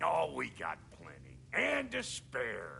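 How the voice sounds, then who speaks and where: Over clear background noise, a man speaks slowly-ish, at a fairly slow pace, in a raspy, put-on character voice. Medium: video game. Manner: gruff, slangy.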